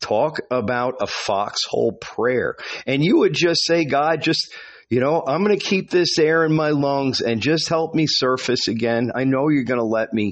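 With an unremarkable speaking voice, a man talks at a moderate pace and a fairly high pitch, with ordinary pitch variation and very even loudness. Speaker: podcast host. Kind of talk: casual monologue. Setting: outdoors.

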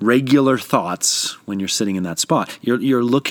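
The voice is a natural reading voice with ordinary pitch variation.

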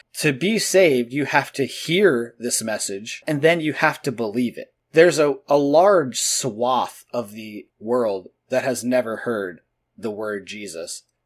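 In a very clean recording with a silent background, an ordinary speaking voice with an American accent moves at a fairly slow pace, with lively intonation and big swings in loudness. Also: man, medium pitch for a man. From New Jersey, US. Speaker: podcast co-host. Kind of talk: casual conversational podcast discussion.

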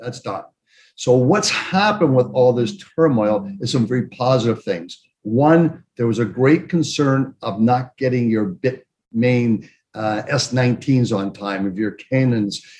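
At a fairly slow pace, the words come out in an ordinary speaking voice whose pitch varies in an ordinary way. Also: man. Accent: Canadian. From Canada, Toronto. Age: 60s. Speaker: investment fund executive. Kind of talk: interview.

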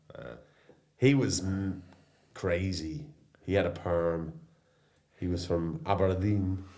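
Very slowly and with long, frequent pauses, a man speaks in a very deep, low pitch and a dark, mellow tone, his loudness swinging widely amid audible room echo. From Ireland and England, mixed. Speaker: surf school owner, former social care worker. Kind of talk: casual chat over beers. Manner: animated.

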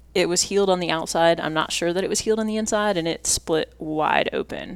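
With a normal speaking voice, a woman speaks fairly low in pitch, her pitch shifting to an ordinary degree. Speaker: competitive mountain bike racer. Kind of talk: casual interview chat.

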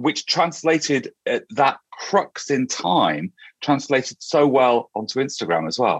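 With a British accent, a man speaks very slowly at a fairly high pitch, swinging widely in pitch, with vocal fry. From UK. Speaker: hairdresser and podcast host. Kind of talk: interview. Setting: remote call.

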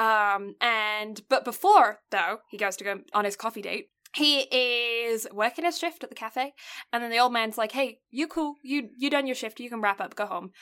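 A woman's fairly high voice with an English accent, at a moderate pace, with ordinary pitch variation. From England. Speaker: anime podcast co-host. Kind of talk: casual chat; plot recap. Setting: home, remote recording.

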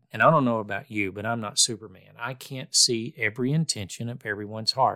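In a very clean recording with a silent background, a man with a medium pitch and a bright, sharp tone speaks calmly at a moderate pace with ordinary pitch variation. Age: 60s. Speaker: podcast host. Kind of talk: solo reflective monologue on faith. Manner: calm, conversational.

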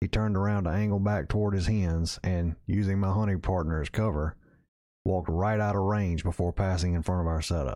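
On a very clean recording with a silent background, a man speaks with a Southern US accent. His voice is very deep and low, dark and mellow in tone, with fairly even intonation and a fairly quick pace. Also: very even loudness. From Mississippi. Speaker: outdoor storytelling podcaster. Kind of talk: scripted narration. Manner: measured storytelling.

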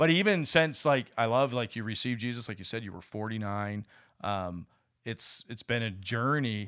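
In an ordinary speaking voice, a man talks at a moderate pace and medium pitch with ordinary pitch variation and big swings in loudness. The recording is very clean with a silent background. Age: 40s. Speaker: church ministry podcast host. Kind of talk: casual faith interview.

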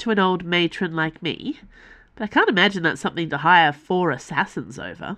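Unforced reading voice throughout

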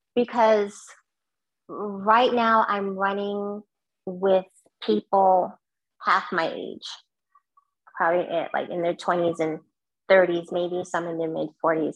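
Very slowly and with long, frequent pauses, a woman speaks in a New York accent. Her pitch is medium and her intonation fairly even. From Brooklyn, New York (born in Guyana). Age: 50s. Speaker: marathon runner. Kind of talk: interview.

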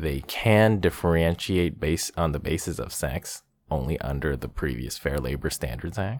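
Lively intonation and vocal fry in a man's very deep, low voice. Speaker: comedian podcast host. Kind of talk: reading aloud legal text to help sleep.

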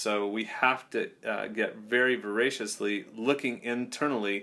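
A man's bright, sharp, medium-pitched voice on a very clean recording with a silent background. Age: 40s. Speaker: leadership coach. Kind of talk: casual chat.

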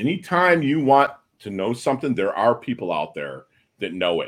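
This man speaks at a moderate pace and medium pitch, his voice swinging very widely in pitch and showing vocal fry. The recording is very clean, with a silent background. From Philippines. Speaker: podcast host and navy veteran. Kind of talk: interview.

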